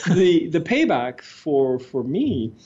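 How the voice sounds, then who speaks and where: A man talks at a very slow pace. He speaks with a French accent. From Quebec, Montreal. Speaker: retired executive turned entrepreneur. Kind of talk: interview.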